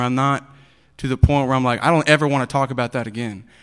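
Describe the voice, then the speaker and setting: Here a man speaks in an East Texas accent at a medium pitch. His intonation is fairly even, on a very clean recording with a silent background. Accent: East Texas Southern American. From Texas (Bowie County, near Texarkana). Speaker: recovering addict sharing his testimony. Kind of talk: testimony. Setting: church service in school auditorium.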